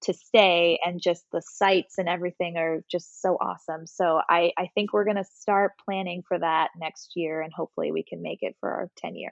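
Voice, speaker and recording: Her pitch sits fairly low. The woman keeps a moderate pace with hardly any pauses. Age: 30s. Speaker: fitness instructor. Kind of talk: casual chat. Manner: animated.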